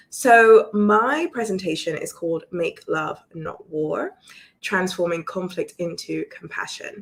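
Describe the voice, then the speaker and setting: In a British accent, a woman speaks at a very slow pace. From London, England. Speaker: relationship coach. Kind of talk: online presentation. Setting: live video stream.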